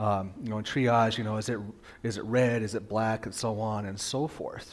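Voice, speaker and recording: A soft-spoken man talks at a fairly low pitch. His intonation is monotone and flat, with audible room echo. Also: moderate pace. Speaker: pastor. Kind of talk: sermon. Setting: church with PA system and livestream.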